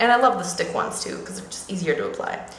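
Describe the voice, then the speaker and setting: Fairly quick talking from a woman, with noticeable background noise and audible room echo. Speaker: beauty vlogger. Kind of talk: makeup tutorial. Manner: fast; casual, with fillers.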